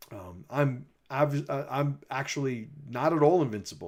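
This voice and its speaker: On a very clean recording with a silent background, a man speaks in a Bronx accent. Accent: Bronx accent, persistent. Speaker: mindset coach and commentator. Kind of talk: livestream monologue responding to critics. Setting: livestream. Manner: casual, many fillers.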